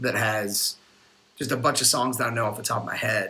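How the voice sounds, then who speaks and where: A man with an American accent and an unremarkable speaking voice, at a fairly quick pace with fairly even intonation. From North Carolina. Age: 30s. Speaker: musician. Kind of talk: casual chat.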